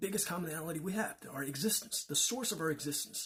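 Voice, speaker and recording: With a Chinese accent, a man talks in a fairly high pitch and lively intonation. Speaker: religious teacher. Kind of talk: lecture. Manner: halting.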